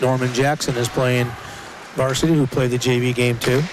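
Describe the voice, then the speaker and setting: At a moderate pace, a man talks in a medium pitch over noticeable background noise. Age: 60s. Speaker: hockey color commentator. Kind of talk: live commentary.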